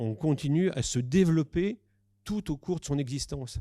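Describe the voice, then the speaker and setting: Dark, mellow-toned man with lively intonation at a moderate pace, in a very clean recording with a silent background. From southern France. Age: 60s. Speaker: psychiatrist and sexologist. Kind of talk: conference talk. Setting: conference with audience. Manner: hesitant, many fillers.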